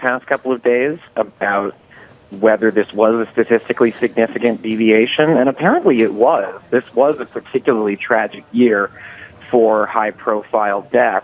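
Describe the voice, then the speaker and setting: Using a plain, everyday voice, a man speaks at a medium pitch. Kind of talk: news guest commentary.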